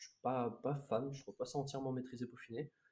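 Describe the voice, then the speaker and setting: A man is speaking. His pace is fairly quick. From Bordeaux, France. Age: young. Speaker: young rapper. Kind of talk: casual chat. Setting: live stream. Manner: halting.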